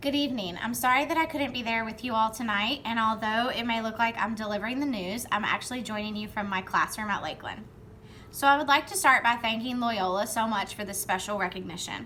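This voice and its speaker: Speaking very fast with a Southern US accent, a woman has a fairly high pitch, a bright, sharp tone and ordinary pitch variation, with audible room echo. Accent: Southern twang. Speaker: third grade reading teacher. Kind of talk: award acceptance speech. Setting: recorded video from classroom. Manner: formal.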